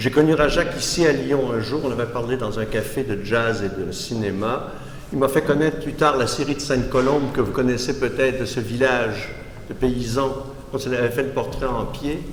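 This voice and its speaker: Speaking in a Quebec accent, the voice keeps a moderate pace. The intonation is fairly even, and audible room echo is present. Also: man. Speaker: art critic and philosopher giving a lecture. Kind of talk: lecture. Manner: halting, with false starts.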